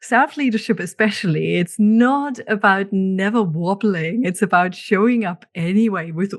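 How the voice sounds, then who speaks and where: A woman with a German accent speaks at a fairly slow pace, her medium pitch moving with ordinary variation over a quiet background. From Germany. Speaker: podcast host, leadership coach. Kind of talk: podcast solo monologue.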